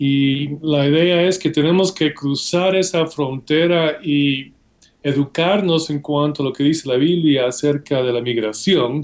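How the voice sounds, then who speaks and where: The speech keeps a fairly slow pace, fairly even intonation and very even loudness throughout. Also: man, fairly high pitch for a man. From Guatemala. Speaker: seminary professor and author. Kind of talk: interview.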